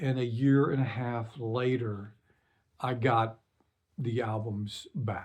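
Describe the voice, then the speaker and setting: A man's medium-pitched voice comes across dark and mellow, somewhat breathy. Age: 60s. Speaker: singer-songwriter. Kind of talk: casual talk to camera. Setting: home recording studio. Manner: hesitant, many fillers.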